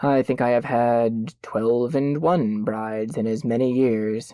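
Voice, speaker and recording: The speaker uses a put-on character voice at a fairly slow pace. The delivery is quiet. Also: man, medium pitch for a man. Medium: read story. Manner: calm, reasonable.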